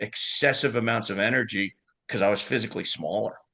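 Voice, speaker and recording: Talking at a fairly quick pace, a man speaks in a New York accent. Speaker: lacrosse club liaison. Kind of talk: casual chat. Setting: podcast interview. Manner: animated.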